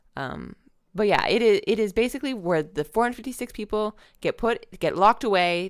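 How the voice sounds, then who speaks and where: Vocal fry colors this fairly quick delivery, captured in a very clean recording with a silent background. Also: woman. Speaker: podcast host. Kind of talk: casual chat.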